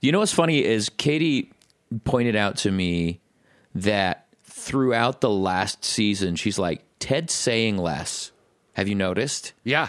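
With lively intonation, a man speaks at a very slow pace in a fairly low pitch. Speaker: podcast co-host, recording studio owner. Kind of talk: casual chat, podcast banter. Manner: profane, casual, rambling.

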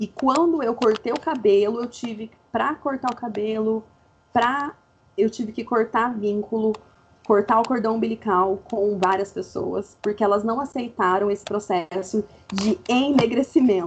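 Ordinary pitch variation and a moderate pace in a fairly high-pitched woman's voice. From interior of São Paulo state, Brazil. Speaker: university lecturer in public health. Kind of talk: casual interview chat. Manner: animated.

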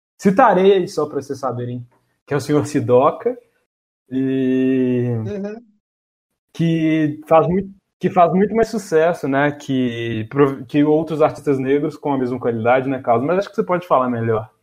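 Here a man speaks with a fairly high pitch. His intonation is lively and his pace moderate. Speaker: podcast host. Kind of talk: casual chat. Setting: remote recording from home.

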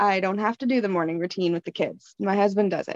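A woman with a Canadian accent has an ordinary speaking voice at a medium pitch, talking at a moderate pace with fairly even intonation in a dry, close sound with no echo. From Canada. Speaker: anonymous guest, parent with BPD. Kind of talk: casual chat.

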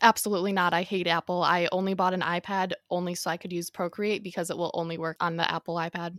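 A woman rattles along at a very fast pace in a flat monotone. Her fairly low voice sounds dry and close, with no echo. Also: hardly any pauses. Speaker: podcast co-host and artist. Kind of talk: casual chat. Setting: remote recording with headphones and mic. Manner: soft-spoken.

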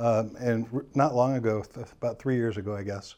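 Against a quiet background, a voice with a Midwestern American accent and a dark, mellow tone moves at a moderate pace with fairly even intonation. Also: man. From US Midwest, St. Louis, Missouri. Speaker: realtor. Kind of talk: casual interview. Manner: hesitant, many fillers.

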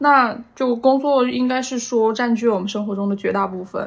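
A plain, everyday voice from a woman, with fairly even intonation and a moderate pace. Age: 20s. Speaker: podcast guest, office worker. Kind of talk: casual chat.

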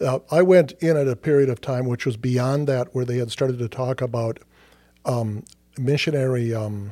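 In an American accent, a man speaks at a medium pitch with fairly even intonation. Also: very clean recording, silent background. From southern Minnesota, Mankato. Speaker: seminary professor and former missionary. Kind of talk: casual interview. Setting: studio.

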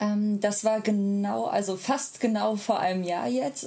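This is a woman speaking. Her pitch is medium. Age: 30s. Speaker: polyamorous parent and social media creator. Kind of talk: casual interview.

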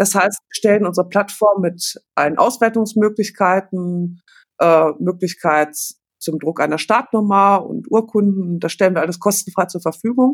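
A woman at a medium pitch with ordinary pitch variation and a moderate pace, an ordinary speaking voice, on a very clean recording with a silent background. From Germany, Paderborn. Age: 40s. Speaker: teacher managing charity projects. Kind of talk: casual chat.

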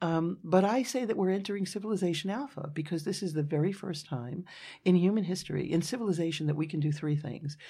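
A woman with a New York accent speaks at a very fast pace. Her tone is dark and mellow. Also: fairly low pitch for a woman, ordinary pitch variation. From New York City, Brooklyn. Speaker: futurist, business owner. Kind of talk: interview.

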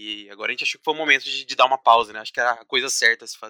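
A man's voice, dry and close with no echo. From São Paulo state, Brazil (Paulínia, near Campinas). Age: 20s. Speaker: systems analyst and musician. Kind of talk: casual chat.

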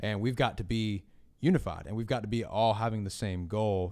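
Energetic in tone, a man with a medium pitch talks at a very fast pace. The recording is very clean, with a silent background. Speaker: podcast host and church production staff. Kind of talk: casual chat.

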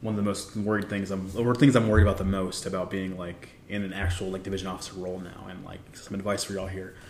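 With an American accent, a man talks at a fairly quick pace in a fairly low pitch and fairly even intonation, with audible room echo around him. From Texas, San Antonio. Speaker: navy officer. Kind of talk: casual chat.

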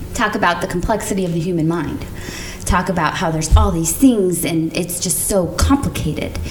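Over noticeable background noise, a woman speaks at a fairly quick pace with a fairly low pitch and ordinary pitch variation. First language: not English. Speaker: podcast co-host. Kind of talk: casual chat; reading aloud.

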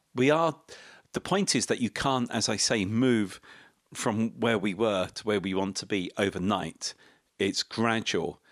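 Speaking at a fairly slow pace, a man with a British accent uses a fairly low pitch and ordinary pitch variation, in a very clean recording with a silent background. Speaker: economist. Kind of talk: casual chat.

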